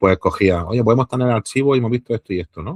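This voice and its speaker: The sound is dry and close with no echo, and the recording is very clean against a silent background. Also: man. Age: 40s. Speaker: historian and archaeologist. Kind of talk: interview conversation. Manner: casual, hesitant fillers.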